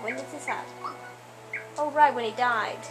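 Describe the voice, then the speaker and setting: Behind a woman's voice, music plays. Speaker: gamer narrating a playthrough. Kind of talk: casual let's-play commentary, partly reading game dialogue aloud. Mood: playful, joking. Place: home room.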